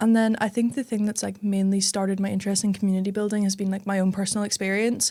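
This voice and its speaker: A woman with a Northern Irish accent speaks very fast with hardly any pauses, in a monotone, flat intonation. Her medium-pitched voice has a dark, mellow tone, and the recording is very clean with a silent background. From Northern Ireland, Belfast. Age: young. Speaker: tech startup founder. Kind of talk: casual chat.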